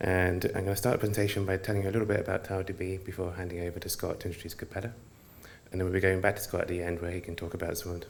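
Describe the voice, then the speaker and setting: A very fast, monotone delivery with flat intonation and audible room echo. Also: man. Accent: British. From United Kingdom. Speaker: software engineer presenter. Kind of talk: conference presentation.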